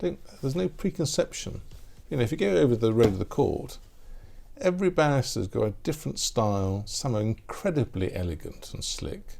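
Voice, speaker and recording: Somewhat breathy and dark, mellow in tone, a man talks at a fairly quick pace with very wide pitch swings. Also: medium pitch for a man. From Manchester, England. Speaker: barrister. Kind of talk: interview answer.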